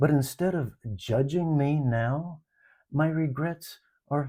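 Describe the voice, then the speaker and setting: Speaking at a very slow pace in a calm tone, a man with a fairly high pitch sounds somewhat breathy and dark and mellow, on a very clean recording with a silent background. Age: 70s. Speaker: life reflection vlogger. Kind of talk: personal reflection monologue.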